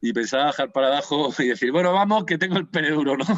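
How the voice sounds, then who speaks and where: A man races along very fast, his fairly high voice varying in pitch in an ordinary way. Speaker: writer. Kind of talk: casual interview chat. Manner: halting.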